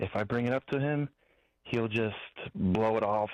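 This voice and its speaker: A man with a medium-pitched voice talks at a moderate pace and fairly even intonation over a quiet background. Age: 20s. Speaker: caller, painting business co-owner. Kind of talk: call-in conversation. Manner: hesitant, with fillers.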